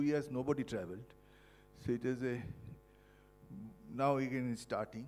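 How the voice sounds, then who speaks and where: Music plays behind a man speaking at a moderate pace. His medium pitch has ordinary variation. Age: 70s. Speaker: professor and Parkinson's patient. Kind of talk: testimony. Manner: halting.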